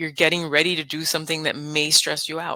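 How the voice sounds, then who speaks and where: A woman's bright, sharp voice with a Spanish accent, at a moderate pace. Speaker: nurse and hypnotist. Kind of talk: casual interview. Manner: calm, soothing.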